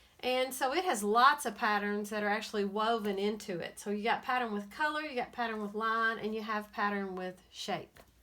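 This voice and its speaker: In an American accent, a woman with a bright, sharp tone and a fairly high pitch talks at a moderate pace with ordinary pitch variation. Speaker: elementary school art teacher. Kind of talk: tutorial for children. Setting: recording at home.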